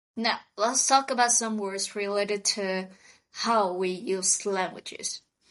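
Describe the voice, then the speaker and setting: Over a quiet background, a woman with a Vietnamese accent speaks at a fairly slow pace, her medium pitch held in fairly even intonation. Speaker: podcast co-host. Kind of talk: scripted vocabulary lesson dialogue.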